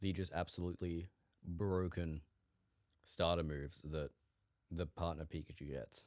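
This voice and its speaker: Speaking at a moderate pace, a man uses a very deep, low pitch and fairly even intonation. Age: young. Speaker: podcast host. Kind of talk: casual solo podcast monologue. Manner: casual, with frequent fillers.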